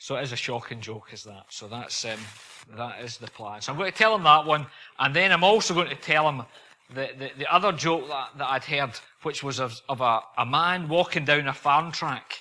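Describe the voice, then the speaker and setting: With a Scottish accent, a man speaks at a fairly high pitch in a bright, sharp tone, with ordinary pitch variation and big swings in loudness. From Scotland. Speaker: visiting preacher. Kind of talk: sermon. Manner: fast.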